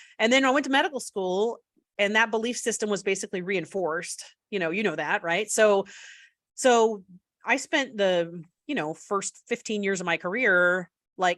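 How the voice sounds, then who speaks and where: Her pitch medium with ordinary pitch variation, a woman talks in an ordinary speaking voice. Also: moderate pace. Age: 40s. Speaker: pediatrician. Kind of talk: interview. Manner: casual, many fillers.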